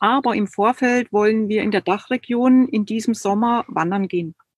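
With an ordinary speaking voice, a woman talks at a fairly high pitch and a moderate pace, using ordinary pitch variation in a dry, close sound with no echo. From East Germany. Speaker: creative and body therapist. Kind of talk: online live interview.

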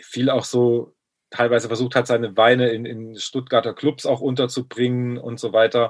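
The speaker is a man with a medium pitch. He keeps a moderate pace. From Baden-Württemberg, Germany. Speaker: rapper and music producer, former pediatrician. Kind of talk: casual chat.

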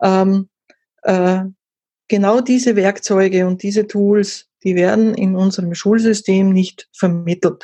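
A woman with an Austrian accent speaks very slowly at medium pitch in a dark, mellow, somewhat breathy tone, monotone and flat, with very even loudness. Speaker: content marketing consultant. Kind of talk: interview. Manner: halting, many fillers.

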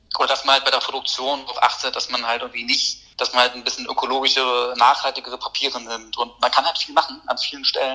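Over noticeable background noise, a man at medium pitch speaks at a very fast pace with monotone, flat intonation. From Berlin, Germany. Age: 20s. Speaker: poet. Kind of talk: casual interview chat.

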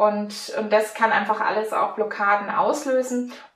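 In a Franconian accent, a woman speaks at a moderate pace with fairly even intonation, and the room gives back an audible echo. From Franconia, Germany. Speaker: mental coach and mountain bike instructor. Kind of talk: interview.

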